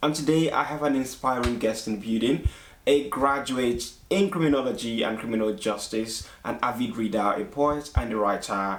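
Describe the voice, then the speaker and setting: A man speaks at a medium pitch and a moderate pace. Noticeable background noise is present. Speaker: podcast host. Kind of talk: interview questions, show host.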